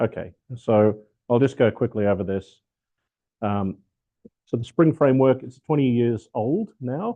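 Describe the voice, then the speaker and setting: A man in an Australian accent speaks with long, frequent pauses. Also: medium pitch for a man, ordinary pitch variation, fairly slow pace. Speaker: software architect and developer evangelist. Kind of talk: technical talk. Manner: casual, with many fillers.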